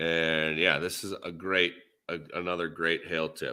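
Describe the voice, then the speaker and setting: A man speaks in a Minnesotan accent. His tone is bright and sharp. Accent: Minnesota. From US Midwest, Minnesota. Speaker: podcast host. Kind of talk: casual chat.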